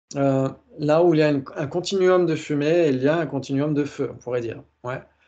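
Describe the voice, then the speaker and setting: With a dark, mellow tone and fairly even intonation, a man speaks at a fairly high pitch and a moderate pace. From France, Blois area. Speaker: teacher of Buddhist logic. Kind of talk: online lecture with group discussion. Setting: video call with screen share. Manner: says he articulates poorly; hesitant, frequent fillers.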